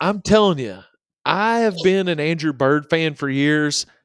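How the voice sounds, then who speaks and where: In a Southern US accent, a man speaks fairly slowly with very wide pitch swings, the sound dry and close with no echo on a very clean recording with a silent background. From South Central Kentucky. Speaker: podcast co-host. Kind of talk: casual chat.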